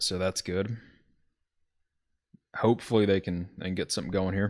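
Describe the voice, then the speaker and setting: At a moderate pace, a man with a Southern accent talks in a fairly low pitch with monotone, flat intonation. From US South, Alabama. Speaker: video game football commentator. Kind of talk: live commentary. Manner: casual, with fillers and self-corrections.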